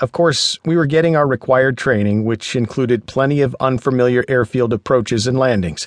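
A man with an unremarkable speaking voice at a medium pitch. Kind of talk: audiobook narration, reading aloud. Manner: measured, even, clear narration; warm, conversational first-person storytelling.

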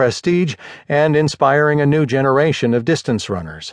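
A man speaks at a fairly quick pace in an unremarkable speaking voice with ordinary pitch variation. The background is quiet. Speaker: audiobook narrator. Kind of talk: audiobook news article reading. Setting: studio. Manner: formal, even and measured, newsreader delivery.

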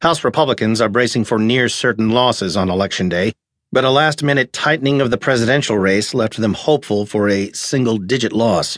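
A man talks at a moderate pace in a plain, everyday voice with a medium pitch and ordinary pitch variation. The loudness is very even, over a quiet background. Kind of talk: scripted news headline reading. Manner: formal, brisk, even-toned newsreader delivery.

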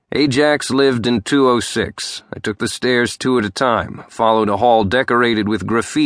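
Here the speaker offers plain reading aloud.

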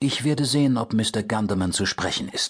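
A man with a plain, everyday voice speaks at medium pitch and a moderate pace, with ordinary pitch variation over a quiet background. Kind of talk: audiobook narration. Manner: first-person noir narration, dry and matter-of-fact; shifts into character voices for dialogue.

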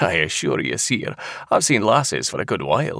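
Low-pitched and bright with a sharp tone, a man does a put-on character voice with vocal fry, big pitch swings and a moderate pace in a very clean recording with a silent background.

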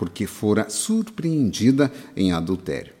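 In an unremarkable speaking voice, a man talks fairly slowly with lively intonation. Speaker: audiobook narrator. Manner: earnest, exhortative, preacherly.

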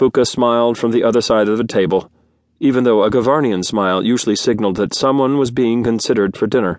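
Against a quiet backdrop, the text is read aloud plainly, with normal pitch movement.

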